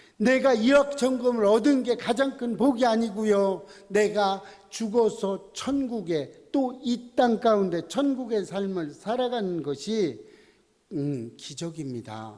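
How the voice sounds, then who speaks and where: A man with a high pitch speaks very slowly. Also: lively intonation. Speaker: pastor. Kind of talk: sermon.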